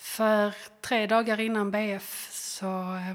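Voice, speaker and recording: A woman talks with a fairly high pitch. Her intonation stays monotone and flat. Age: 30s. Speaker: teacher and bereaved mother. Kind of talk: personal testimony interview.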